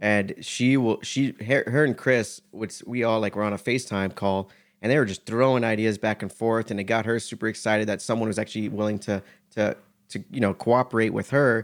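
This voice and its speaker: A man with an American accent and an ordinary speaking voice talks at a medium pitch and a fairly quick pace with fairly even intonation. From South Florida, US. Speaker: music video producer. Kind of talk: casual interview chat.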